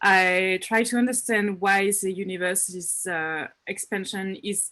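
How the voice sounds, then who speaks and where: Speaking in a French accent, a woman keeps a medium pitch and fairly even intonation. Her pace is fairly slow. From France. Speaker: astrophysics researcher. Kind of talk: panel self-introduction. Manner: hesitant, many fillers.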